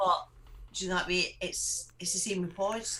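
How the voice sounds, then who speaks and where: The voice belongs to a woman with a Scottish accent. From Scotland. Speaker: vape show co-host. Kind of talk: casual chat.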